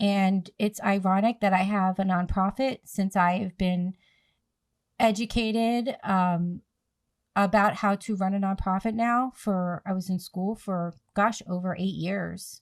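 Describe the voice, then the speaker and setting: A woman with an unremarkable speaking voice talks at a fairly slow pace, medium-pitched with fairly even intonation. The recording is very clean, dry and close, with a silent background and no echo. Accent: American. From New Jersey / Philadelphia area, US. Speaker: podcast host, nonprofit founder, PPCM survivor. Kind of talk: podcast interview, advocacy talk.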